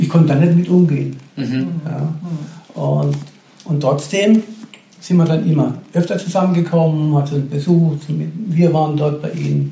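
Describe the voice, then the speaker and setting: A man's fairly high voice at a fairly slow pace, with fairly even intonation and noticeable background noise. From Karlsruhe area, Baden, Germany. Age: 60s. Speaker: retiree telling his faith story. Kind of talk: testimony.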